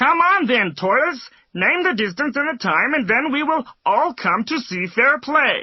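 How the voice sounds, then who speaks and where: A female-sounding voice does a put-on character voice pitched high. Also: moderate pace. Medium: read story.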